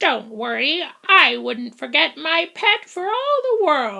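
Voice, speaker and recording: A woman speaks at a fairly slow pace in a high-pitched, put-on character voice. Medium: read story. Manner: folksy, exclamatory.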